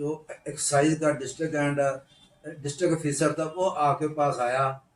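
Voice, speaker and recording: A man speaks at a fairly high pitch in a monotone, flat way. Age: 60s. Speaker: trader association leader, interviewer. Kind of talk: interview podcast.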